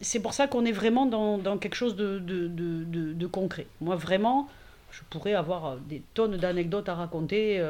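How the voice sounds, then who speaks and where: A woman at a moderate pace. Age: 50s. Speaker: digital communication consultant and workshop organizer. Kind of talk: casual interview. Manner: hesitant, many fillers.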